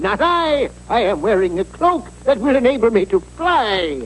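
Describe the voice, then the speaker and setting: Doing a cartoonish character voice at a high pitch, a man speaks at a moderate pace with clear background noise. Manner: formal, self-assured.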